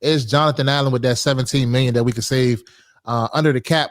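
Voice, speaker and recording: A man's medium-pitched voice, an ordinary speaking voice with fairly even intonation, in a very clean recording with a silent background. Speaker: sports podcast host. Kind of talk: casual sports talk. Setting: live stream.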